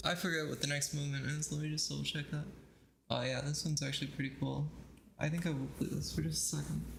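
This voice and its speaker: There is audible room echo as a man talks at a very fast pace with very even loudness. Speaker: streamer and pianist. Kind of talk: casual livestream chat. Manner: halting, self-described stuttering.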